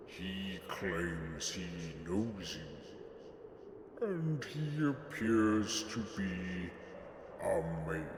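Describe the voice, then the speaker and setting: A man's put-on character voice at a fairly low pitch, very slow pace and long, frequent pauses, with clear background noise and clear echo. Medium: audio drama. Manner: formal, respectful.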